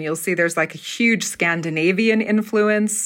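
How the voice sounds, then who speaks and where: A woman's medium-pitched voice, a plain, everyday voice with fairly even intonation, on a very clean recording against a silent background. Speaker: theater professor and dialect coach. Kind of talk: casual interview.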